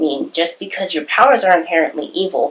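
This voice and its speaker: This woman speaks at a medium pitch. Her voice swings very widely in pitch. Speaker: YouTuber and aspiring novelist. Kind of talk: casual vlog monologue. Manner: hesitant with many fillers.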